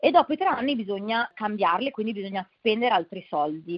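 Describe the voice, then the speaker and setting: Here is a woman with a normal speaking voice. Her pitch is fairly high and her intonation lively. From Milan, Italy. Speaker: nonprofit founder. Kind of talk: interview.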